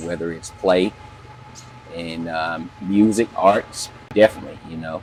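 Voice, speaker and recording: Noticeable background noise surrounds a man with an Alabama accent. His very deep, low voice moves at a fairly slow pace with fairly even intonation. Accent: Southern US (Alabama). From US South, Auburn, Alabama. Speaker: community member interviewed, military veteran. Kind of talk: interview. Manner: hesitant, many fillers.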